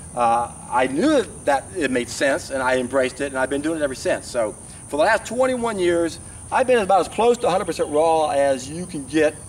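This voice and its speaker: The voice moves through very wide pitch swings. Light background noise sits underneath. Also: man, fairly high pitch for a man, moderate pace. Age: 60s. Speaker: raw vegan health vlogger. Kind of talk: monologue to camera. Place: open country.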